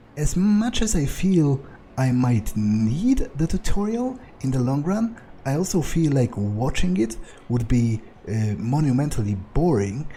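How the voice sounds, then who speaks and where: Pitch swings very widely in this fairly slow-paced delivery. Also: man, fairly high pitch for a man. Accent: non-native. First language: not English. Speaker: let's play gamer. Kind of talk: gameplay commentary. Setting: recording at computer with microphone. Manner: halting, many fillers.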